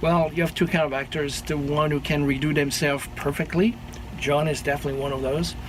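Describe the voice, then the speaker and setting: A man with a French accent, fairly high-pitched and flat in monotone, talking at a very fast pace over noticeable background noise. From France. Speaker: sound engineer. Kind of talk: interview.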